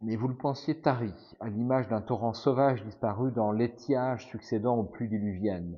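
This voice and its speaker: This man's pitch is medium, with ordinary variation. His pace is moderate. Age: 50s. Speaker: gamebook playthrough streamer. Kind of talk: reading aloud.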